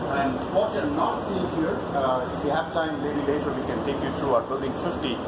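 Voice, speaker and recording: A man at a moderate pace, with ordinary pitch variation, over loud background noise. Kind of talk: tour guide explanation. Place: factory.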